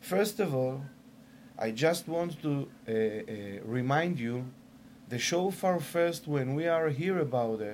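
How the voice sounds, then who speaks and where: In an Israeli accent, a man with a fairly high pitch speaks at a very slow pace. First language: Hebrew. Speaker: shofar maker. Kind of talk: sales pitch; interview. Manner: halting.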